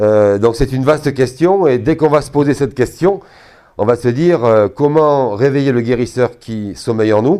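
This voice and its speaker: A man with a medium-pitched voice speaks at a moderate pace with ordinary pitch variation against a quiet background. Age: 60s. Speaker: energy therapist giving a talk. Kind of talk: talk to an audience. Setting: hall at a trade fair with audience. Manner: hesitant, many fillers.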